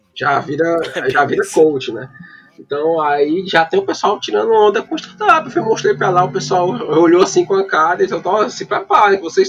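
Backed by music, a man delivers his words at a medium speed. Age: 30s. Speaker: data scientist. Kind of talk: casual chat. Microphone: poor audio with dropouts.

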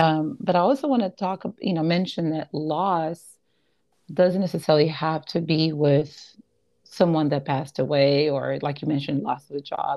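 A woman with a Portuguese accent speaks in a very deep, low pitch. Her pace is moderate and her pitch variation ordinary. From Brazil (Rio de Janeiro). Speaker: podcast host. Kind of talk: casual interview chat.

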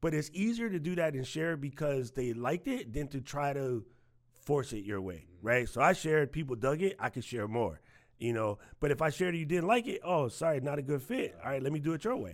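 With a plain, everyday voice, a man speaks at a fairly quick pace and fairly high pitch, his intonation lively, on a very clean recording with a silent background. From New York. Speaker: tech community manager. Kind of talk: casual chat.

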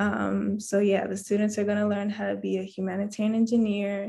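Soft-spoken and somewhat breathy, a woman with an American accent talks in a medium pitch with a dark, mellow tone against a quiet background. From mixed: Washington DC, Japan, Canada. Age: 20s. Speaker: engineering student. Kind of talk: interview.

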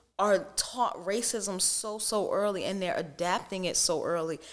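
Using an ordinary speaking voice at medium pitch, a woman talks at a fairly slow pace with ordinary pitch variation. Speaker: small business owner. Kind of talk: casual interview.

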